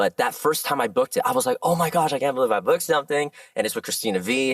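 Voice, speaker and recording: Speaking very fast with an American accent, a man uses a fairly high pitch, very wide pitch swings and vocal fry in an animated tone, recorded with a dry, close sound and no echo. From Southern California. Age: 30s. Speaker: voice actor. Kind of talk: interview chat.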